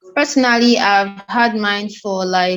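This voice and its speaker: A woman talks with a plain, everyday voice. Her pitch is medium, with ordinary variation. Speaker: podcast host. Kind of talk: podcast interview discussion. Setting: recorded video call.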